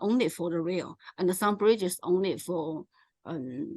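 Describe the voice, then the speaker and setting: With a Chinese accent, a woman speaks at a fairly slow pace in a dry, close sound with no echo. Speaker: presenter on local transport. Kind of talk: presentation. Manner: halting.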